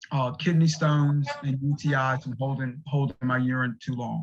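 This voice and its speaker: Somewhat breathy, a man talks with fairly even intonation. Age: 60s. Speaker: recovery group co-founder, patient speaker. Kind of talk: testimony. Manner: halting.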